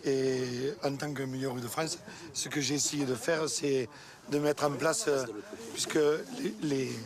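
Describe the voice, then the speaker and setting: A man with a fairly high pitch talks at a very slow pace with ordinary pitch variation, long, frequent pauses and noticeable background noise. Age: 20s. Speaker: cheesemaker. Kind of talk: casual chat.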